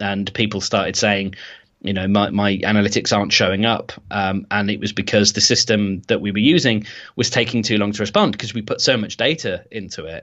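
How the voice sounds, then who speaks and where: A man with a Birmingham accent, fairly low in pitch, fairly quick in pace, with fairly even intonation. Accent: Birmingham English (Brummie). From Birmingham, England. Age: 30s. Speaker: web developer and podcast hosting founder. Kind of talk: interview.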